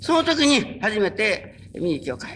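The pace is moderate as a man talks. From Japan, Kyushu (Kurume, Fukuoka). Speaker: religious minister. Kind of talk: sermon. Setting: stage with audience.

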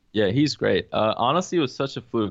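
Against a quiet background, a man is speaking. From UAE, Pakistani family. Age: 20s. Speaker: music producer. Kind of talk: casual chat.

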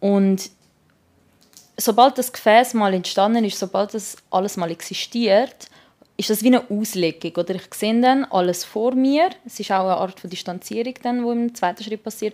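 A woman with a Swiss accent speaks at a moderate pace. Her voice is fairly high, with ordinary pitch variation. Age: 20s. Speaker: art student. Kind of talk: personal storytelling. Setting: beauty salon during hair removal.

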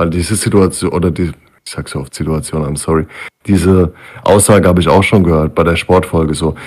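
Very fast pace and fairly even intonation. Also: man, very deep, low pitch for a man. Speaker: podcast co-host. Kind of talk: casual chat. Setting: online call, streamed.

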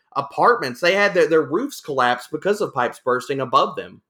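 A man speaks in a bright, sharp tone. The recording is very clean, with a silent background. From Louisiana. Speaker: fantasy football analyst. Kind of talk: casual chat.

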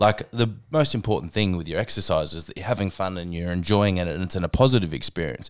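Very deep and low in pitch, a man speaks at a very fast pace with big swings in loudness on a very clean recording with a silent background. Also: lively intonation, hardly any pauses. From Tasmania, Australia. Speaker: podcast host and fitness trainer. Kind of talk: casual chat. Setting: studio.

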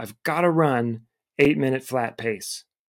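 A man speaks in a normal speaking voice with an American accent and ordinary pitch variation. The recording is very clean, with a silent background. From Cleveland, Ohio. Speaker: running coach and educator. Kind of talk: casual interview.

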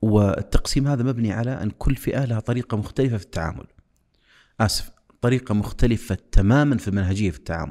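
Moving at a moderate pace, a man's medium-pitched voice has a dark, mellow tone and ordinary pitch variation. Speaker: engineer and youth development specialist. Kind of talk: interview.

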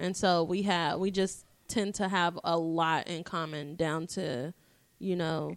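A woman's unremarkable speaking voice, fairly low in pitch, with fairly even intonation, on a very clean recording against a silent background. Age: 20s. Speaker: podcast co-host. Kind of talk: casual chat.

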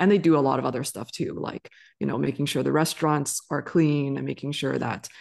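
Against a quiet background, a woman with a very deep, low pitch and vocal fry talks at a fairly quick pace with fairly even intonation. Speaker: physician and financial literacy educator. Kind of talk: casual interview conversation.

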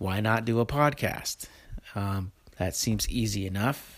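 A man speaks in a relaxed tone. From Oregon coast, US. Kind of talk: casual monologue and interview. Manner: relaxed, casual.

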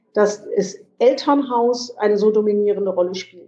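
This woman's voice sits at a fairly high pitch. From western Germany, Lower Rhine. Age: 50s. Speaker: politician. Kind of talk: interview. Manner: halting, many fillers.

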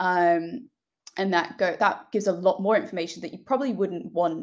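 A woman talks with a British accent. Her pitch is medium. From United Kingdom. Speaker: company founder and CEO. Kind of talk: interview, casual conversation.

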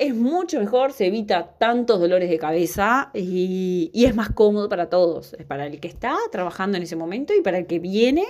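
The recording is very clean, with a silent background. A woman at medium pitch speaks at a fairly quick pace with lively intonation. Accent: Uruguayan. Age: 30s. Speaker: podcast host on workplace safety. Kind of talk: informal educational monologue.

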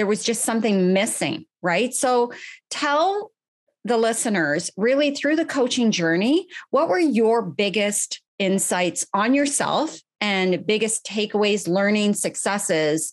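A woman with a Canadian accent at a fairly high pitch, lively intonation, very even loudness and a fairly slow pace against a quiet background. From Canada, Ottawa. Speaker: podcast host and life coach. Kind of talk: interview. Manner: casual.

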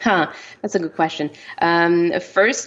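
With a Quebec accent, a woman speaks at a fairly slow pace, her fairly low pitch showing ordinary variation. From French Canada. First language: French. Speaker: romance author. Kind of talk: interview. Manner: hesitant, many fillers.

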